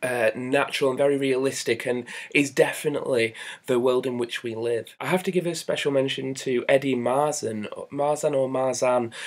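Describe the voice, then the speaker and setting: With a Northern English accent, a man speaks at a moderate pace and medium pitch in fairly even intonation. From northern England. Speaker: film reviewer. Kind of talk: casual review monologue. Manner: hesitant, many fillers.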